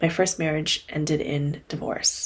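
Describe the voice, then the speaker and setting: A somewhat breathy, calm woman's voice at a fairly low pitch. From Korean-American family, English-speaking upbringing. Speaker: podcast host and coach. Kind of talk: solo podcast monologue. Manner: reflective, calm.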